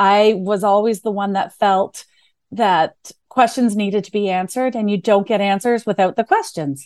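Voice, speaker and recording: A woman with a Canadian accent talks at a moderate pace in a medium pitch with fairly even intonation. The sound is dry and close, with no echo. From New Brunswick, Canada. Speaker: client success manager. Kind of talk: casual interview.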